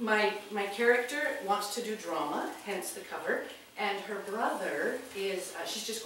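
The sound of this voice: The reading voice sounds unforced. Its intonation stays fairly even.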